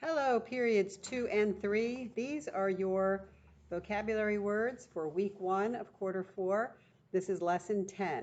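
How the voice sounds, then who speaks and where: Speaking fairly slowly, a woman uses an unremarkable speaking voice pitched in the medium range, its pitch varying in an ordinary way. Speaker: teacher. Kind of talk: recorded vocabulary lesson for students.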